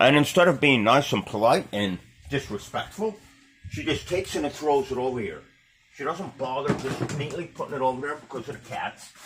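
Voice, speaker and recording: Over noticeable background noise, a fairly high-pitched man talks at a fairly quick pace with lively intonation and big swings in loudness. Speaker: home video vlogger. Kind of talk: casual vlog monologue.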